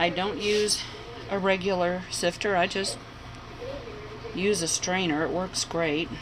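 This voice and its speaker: Noticeable background noise accompanies a woman speaking at a medium pitch and fairly slow pace. Her intonation is monotone and flat, broken by long, frequent pauses. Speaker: home cook. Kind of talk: tutorial. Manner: casual, chatty.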